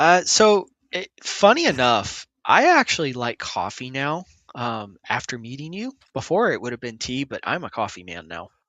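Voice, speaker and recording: Loudness swings widely as a man talks at a moderate pace. His pitch also moves in very wide swings. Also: fairly high pitch for a man. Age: 30s. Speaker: emergency services worker. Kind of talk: casual interview chat. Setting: livestreamed podcast. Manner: hesitant, many fillers.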